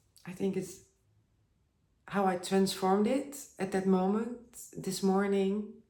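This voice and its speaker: A woman with a non-native accent speaks at medium pitch and a fairly slow pace, with long, frequent pauses. Her tone is dark and mellow, her intonation fairly even, and audible room echo surrounds her. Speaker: spiritual vlogger. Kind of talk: personal video monologue. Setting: at home by a bath with candles. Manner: halting.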